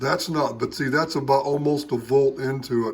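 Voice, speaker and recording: His pace is moderate. The man's voice sits at a medium pitch. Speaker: amateur radio operator, homebrew transmitter builder. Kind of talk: workbench tutorial. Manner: casual, halting with fillers.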